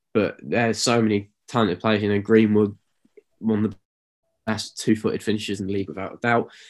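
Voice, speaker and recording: In an East Midlands accent, a man speaks at a fairly quick pace with medium pitch and monotone, flat intonation on a very clean recording with a silent background. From East Midlands, England. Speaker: podcast co-host. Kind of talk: casual sports chat.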